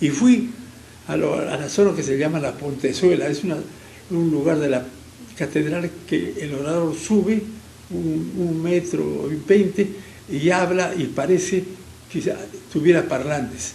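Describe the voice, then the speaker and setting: A man with a fairly high voice speaks at a fairly slow pace. Long, frequent pauses break up his words, and room echo is audible. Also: ordinary pitch variation. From Peru, Arequipa. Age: 80s+. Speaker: engineer, businessman and former politician. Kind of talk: interview, personal storytelling. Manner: halting with stammered repeats.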